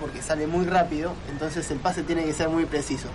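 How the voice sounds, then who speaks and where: Speaking at a fairly quick pace and high pitch, a man is heard with audible room echo and noticeable background noise. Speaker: football commentator. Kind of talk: casual radio chat. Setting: studio.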